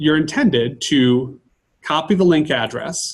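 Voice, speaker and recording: A somewhat breathy man with an American accent speaks at a fairly high pitch. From Michigan. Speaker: teacher leading a workshop. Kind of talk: tutorial. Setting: workshop. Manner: fast.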